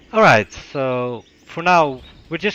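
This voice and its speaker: A man with a non-native accent speaks in a bright, sharp tone with ordinary pitch variation. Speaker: game caster. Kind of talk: live commentary.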